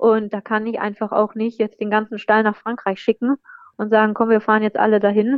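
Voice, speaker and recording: Her fairly high pitch stays in a monotone, as this woman speaks with flat intonation. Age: young. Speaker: racehorse trainer. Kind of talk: interview.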